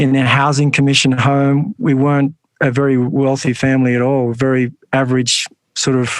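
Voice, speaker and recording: A man with an Australian accent at a medium pitch, with fairly even intonation. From Australia, western Sydney. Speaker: monk and nonprofit founder. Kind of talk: interview.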